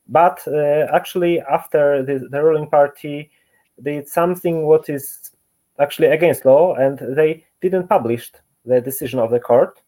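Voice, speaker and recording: At a moderate pace, a man with a Polish accent talks in a fairly high pitch and a dark, mellow tone. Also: ordinary pitch variation. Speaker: office worker. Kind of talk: interview. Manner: halting.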